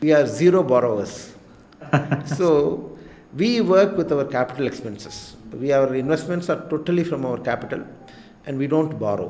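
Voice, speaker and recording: With an Indian accent, a man speaks at a moderate pace and fairly high pitch, with noticeable background noise and audible room echo. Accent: Indian English (Tamil). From India, rural Tamil Nadu. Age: 60s. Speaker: cardiologist and hospital director. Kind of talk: interview. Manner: hesitant, many fillers.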